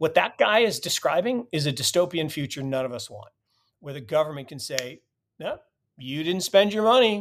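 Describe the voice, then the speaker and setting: A man speaks at a moderate pace in a normal speaking voice, pitched fairly high. His intonation is lively, and his loudness swings widely. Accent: American. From US West Coast. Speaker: financial expert and Bitcoin advocate. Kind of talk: casual interview conversation.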